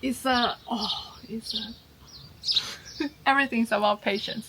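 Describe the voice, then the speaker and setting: A woman with a Chinese accent speaks at a very slow pace and a fairly high pitch. Her intonation stays fairly even, with noticeable background noise behind her. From China. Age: 30s. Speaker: homesteader and YouTuber. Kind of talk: casual Q&A chat.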